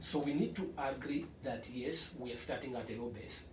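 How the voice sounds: Room echo is audible around this man. His voice sits at a medium pitch. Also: ordinary pitch variation, fairly quick pace.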